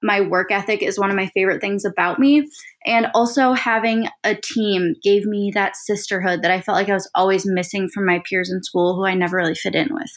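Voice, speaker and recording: Using an American accent, a woman talks at a fairly quick pace with hardly any pauses and ordinary pitch variation. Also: medium pitch for a woman. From Minnesota, Saint Paul. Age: 20s. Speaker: podcast host and social media influencer. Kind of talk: casual solo podcast monologue. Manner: animated.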